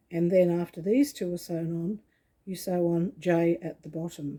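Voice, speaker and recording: Dark, mellow tone at a fairly slow pace. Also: woman. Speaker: quilting tutor. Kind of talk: tutorial.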